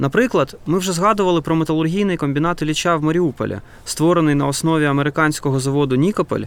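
A man speaks at a very fast pace. His loudness is very even, and his pitch varies in an ordinary way. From Ukraine, Donetsk. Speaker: film director, podcast co-host. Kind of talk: scripted narration.

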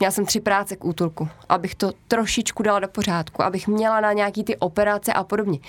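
A woman talks very fast at a medium pitch, her loudness very even and her intonation fairly even. The recording is very clean, with a silent background. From Czechia, Tachov area. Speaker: animal shelter operator. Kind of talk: casual interview.

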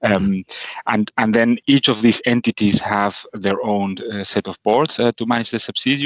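A man speaks at a fairly low pitch with fairly even intonation. The sound is dry and close with no echo, over a quiet background. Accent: Spanish. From Argentina. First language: Spanish. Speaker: finance executive. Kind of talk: interview. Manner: halting.

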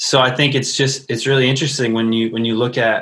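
With an American accent, a man talks at a medium pitch in a bright, sharp tone. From US Midwest, northwest suburbs of Chicago. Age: 30s. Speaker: worship pastor and musician. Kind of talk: casual conversation. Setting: internet call.

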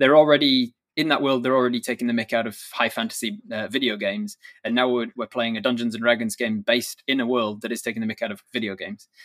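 Recorded very cleanly against a silent background, with a dry, close sound and no echo, a man speaks at a very fast pace with ordinary pitch variation. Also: medium pitch for a man. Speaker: dungeon master and streamer. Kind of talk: casual interview.

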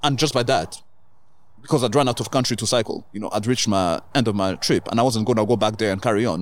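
On a very clean recording with a silent background, a man of medium pitch talks at a very fast pace with ordinary pitch variation. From Kenya and South Africa. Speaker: DJ and endurance cyclist. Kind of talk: casual interview. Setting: outdoors in a backyard.

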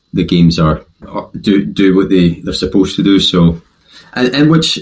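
A man speaks with a very deep, low pitch in a West Coast Scottish accent. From West of Scotland. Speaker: podcast guest, company CEO.

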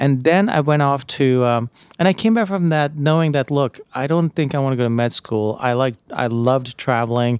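An unremarkable speaking voice from a man with an American accent, fairly high in pitch, with ordinary pitch variation, very even loudness and a moderate pace. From US, Jamaica, Queens, New York City. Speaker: author and investor. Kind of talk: casual interview.

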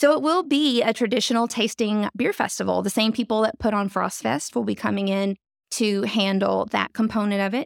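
In a very clean recording with a silent background and a dry, close sound with no echo, a woman with a Southern US accent speaks at a fairly high pitch and a fairly quick pace, with ordinary pitch variation. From North Louisiana. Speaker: downtown development director. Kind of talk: casual interview.

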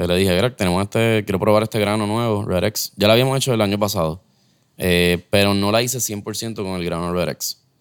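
A man speaks at a fairly quick pace in a Puerto Rican accent. His fairly low voice keeps a fairly even intonation. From Puerto Rico. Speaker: head brewer. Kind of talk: casual chat.

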